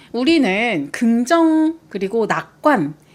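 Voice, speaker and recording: Over noticeable background noise, a woman with a high-pitched, cheerful voice talks at a very slow pace. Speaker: art commentary video host. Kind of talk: reflective talk to camera. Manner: bright, cheerful.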